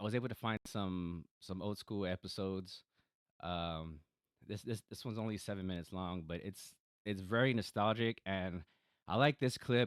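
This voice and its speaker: On a very clean recording with a silent background, a man with an American accent talks at a moderate pace in a fairly low pitch with ordinary pitch variation, the sound dry and close with no echo. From Texas, San Antonio. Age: 30s. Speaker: podcaster. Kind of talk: casual monologue. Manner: halting, many fillers and repeats.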